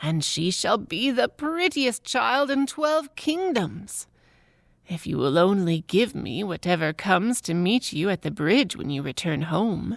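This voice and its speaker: A woman puts on a character voice at a medium pitch, speaking at a fairly slow pace. Her pitch swings very widely up and down. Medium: read story.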